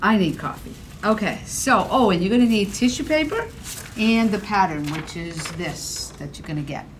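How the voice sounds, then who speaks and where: A woman speaks in a Boston accent with lively intonation. The room echoes audibly and background noise is noticeable. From Boston, Massachusetts. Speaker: ceramics painting teacher. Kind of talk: tutorial. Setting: indoor studio, filmed on camera. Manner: casual, joking.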